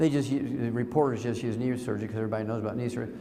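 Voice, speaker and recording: A man's animated tone with audible room echo. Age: 70s. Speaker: lecturer on nutrition. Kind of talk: lecture.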